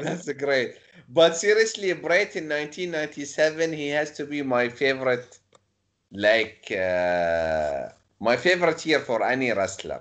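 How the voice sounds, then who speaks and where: Speaking at a fairly slow pace with a non-native accent, a man uses a fairly high pitch and very wide pitch swings. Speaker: YouTube interviewer. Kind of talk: casual chat.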